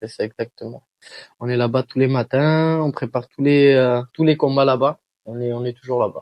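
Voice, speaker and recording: The man's voice is pitched in the medium range. He keeps to a moderate pace. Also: fairly even intonation. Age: 20s. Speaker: professional MMA fighter. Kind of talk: interview. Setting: shop. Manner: hesitant, many filler sounds.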